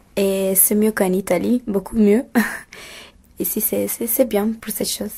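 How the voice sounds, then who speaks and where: A somewhat breathy woman speaks at a fairly slow pace with long, frequent pauses. Her medium pitch has a dark, mellow tone and fairly even intonation. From Italy. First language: Italian (speaking French). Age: 20s. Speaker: exchange student. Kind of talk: interview. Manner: halting.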